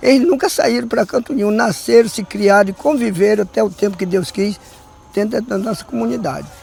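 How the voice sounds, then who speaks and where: A man speaks in a high voice with lively intonation. Noticeable background noise runs behind him. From southern Bahia, Brazil (Olivença). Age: 80s+. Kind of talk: documentary interview. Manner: halting.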